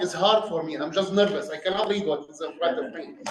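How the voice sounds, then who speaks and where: A man with an Arabic accent talks at a fairly quick pace in a high pitch, with audible room echo. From Syria. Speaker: restaurant owner. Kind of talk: speech to a club audience.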